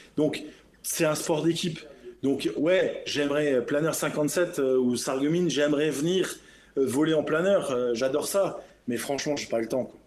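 A man speaking at a fairly slow pace with audible room echo. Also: fairly high pitch for a man, fairly even intonation. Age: 50s. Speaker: business jet captain. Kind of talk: interview.

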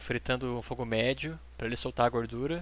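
A bright, sharp tone at a fairly quick pace, with fairly even intonation. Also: man. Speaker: home cook, recent graduate. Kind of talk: cooking tutorial.

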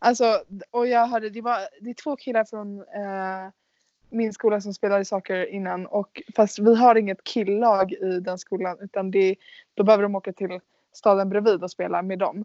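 A woman talks in an unremarkable speaking voice at a medium pitch and a moderate pace. Her intonation is fairly even, but her loudness swings a lot. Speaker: podcast host, exchange student. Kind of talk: casual chat.

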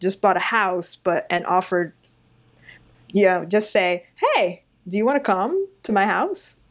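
A woman with a plain, everyday voice talks at a moderate pace and a medium pitch. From New York City (Long Island, Queens). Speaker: book editor and podcast host. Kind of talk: interview conversation.

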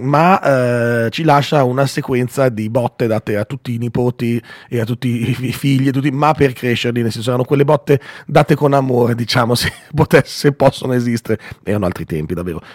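The recording has a dry, close sound with no echo as a man talks at a moderate pace in an unremarkable speaking voice. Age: 40s. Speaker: radio host. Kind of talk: morning radio show.

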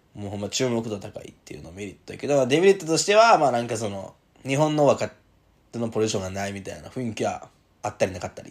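In a Kansai accent, a man talks very fast in an animated tone, his pitch swinging very widely. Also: medium pitch for a man, big swings in loudness. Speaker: podcast host, rugby player. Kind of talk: casual chat. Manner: animated, laughing often.

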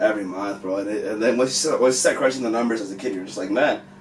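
A man talks with lively intonation. His voice carries audible room echo and noticeable background noise. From Mexican American household, US. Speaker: music manager and finance educator. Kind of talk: casual chat.

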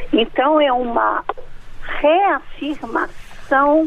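Noticeable background noise runs under a woman talking at a very slow pace. Her pitch variation is ordinary. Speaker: sociology professor. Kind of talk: expert interview. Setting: phone call.

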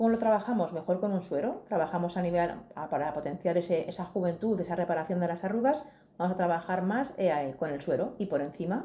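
With a Madrid accent, a woman speaks at a fairly quick pace in a fairly low, dark, mellow tone with ordinary pitch variation. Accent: Castilian Spanish (Madrid). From Madrid, Spain. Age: 40s. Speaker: beauty and skincare specialist. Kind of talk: casual interview.

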